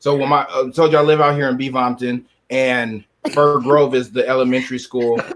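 A man with an American accent at a medium pitch, fairly quick in pace, monotone and flat in intonation. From San Diego, California. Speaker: podcast host. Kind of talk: casual chat.

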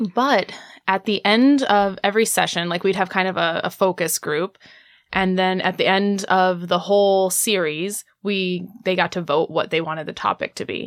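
Speaking at a moderate pace with an American accent, a woman has an ordinary speaking voice, medium pitch, and fairly even intonation on a very clean recording with a silent background. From Indiana. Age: 30s. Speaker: sex educator. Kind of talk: radio interview. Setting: radio studio.

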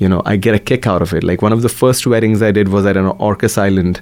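This is a man's voice. He speaks with a Marathi accent. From India, Maharashtra. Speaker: DJ and dance event promoter. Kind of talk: radio interview. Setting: radio studio.

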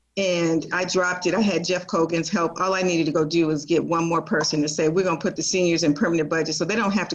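Fairly low in pitch, a woman with an American accent speaks at a very fast pace with fairly even intonation. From Portland, Oregon. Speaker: city council candidate. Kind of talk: interview. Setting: video call.

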